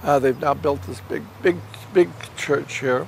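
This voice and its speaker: With an American accent and lively intonation, the man talks at a moderate pace against noticeable background noise. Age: 80s+. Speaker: puppeteer. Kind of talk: casual chat. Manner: halting.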